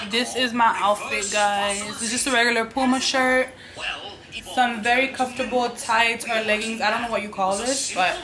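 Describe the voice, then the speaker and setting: Clear music plays behind a woman who speaks with monotone, flat intonation. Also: moderate pace. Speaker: vlogger. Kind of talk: casual vlog chat. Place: kitchen. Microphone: phone near.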